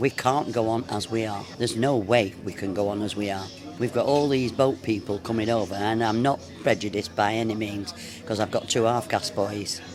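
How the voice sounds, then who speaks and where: Someone speaks at a fairly quick pace with fairly even intonation while music plays in the background. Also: man, medium pitch for a man. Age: 80s+. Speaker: pub regular. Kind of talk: interview.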